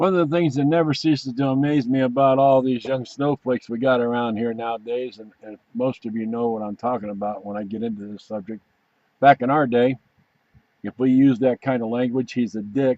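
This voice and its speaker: A man with a normal speaking voice talks fairly quickly at medium pitch, his intonation fairly even but his loudness swinging widely. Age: 60s. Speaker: veteran video commentator. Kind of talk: casual video commentary.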